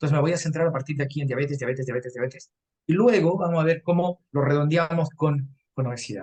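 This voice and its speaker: A man speaks at a very fast pace with a fairly high pitch. His voice is somewhat breathy. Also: ordinary pitch variation. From Peru, Arequipa. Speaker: nutrition lecturer. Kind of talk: lecture.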